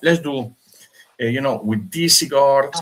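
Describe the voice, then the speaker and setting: Speaking in a non-native accent, a man lets his intonation rise and fall in a lively way. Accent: foreign. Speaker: cigar maker. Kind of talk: casual chat. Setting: live stream. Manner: animated.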